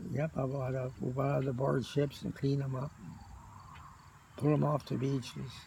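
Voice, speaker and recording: Speaking with an American accent at a moderate pace, a man uses a medium pitch, a somewhat breathy voice and a monotone, flat intonation, with long, frequent pauses. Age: 80s+. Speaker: war veteran. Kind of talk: interview answer.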